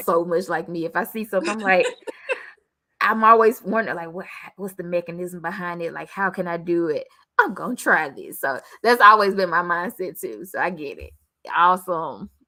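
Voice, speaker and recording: A woman with an ordinary speaking voice talks at a fairly quick pace with a fairly low pitch and ordinary pitch variation. Her loudness swings widely. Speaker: podcast host interviewer. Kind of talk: interview questions.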